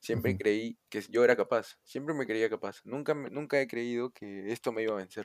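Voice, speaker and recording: Speaking at a fairly quick pace, a man with a Peruvian accent has a medium pitch and ordinary pitch variation, recorded very cleanly against a silent background with a dry, close sound and no echo. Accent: Peruvian Spanish (Lima). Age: 20s. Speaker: university student. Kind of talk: casual chat.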